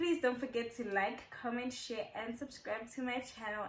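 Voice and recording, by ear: A woman's fairly bright tone with audible room echo.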